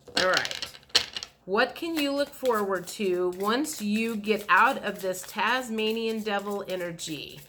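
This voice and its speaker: Noticeable background noise sits under speech at a very slow pace with ordinary pitch variation. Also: woman, medium pitch for a woman. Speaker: tarot reader. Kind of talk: tarot reading. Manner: calm, relaxed.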